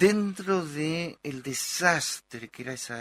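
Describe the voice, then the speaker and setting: A man's voice, with ordinary pitch variation, comes through a dry, close sound with no echo on a very clean recording with a silent background. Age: 60s. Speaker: psychoanalyst and actor. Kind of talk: interview.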